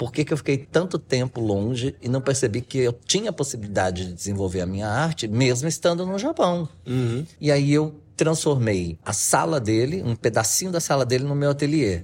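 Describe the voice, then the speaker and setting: The man's voice is somewhat breathy, with lively intonation. He keeps a moderate pace and hardly any pauses. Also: medium pitch for a man. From Brazil. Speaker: artisan and Japanese teacher. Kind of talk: interview.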